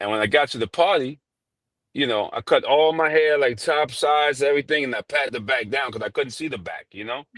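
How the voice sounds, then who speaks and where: The dry, close sound with no echo carries a man's fairly high pitch, ordinary pitch variation, and fairly quick pace. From New York. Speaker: barber and shop owner. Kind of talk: interview storytelling. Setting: live stream. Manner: casual, filler-heavy.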